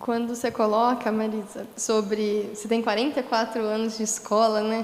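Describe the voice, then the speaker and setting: Against noticeable background noise, a woman talks at a moderate pace in a fairly high pitch with monotone, flat intonation. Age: 20s. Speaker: history teacher. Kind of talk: panel discussion. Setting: livestream on social media.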